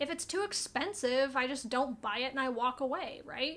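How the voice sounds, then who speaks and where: Raised and projected, a woman's high voice carries a bright, sharp tone at a moderate pace with ordinary pitch variation. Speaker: plant youtuber. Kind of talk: casual chat.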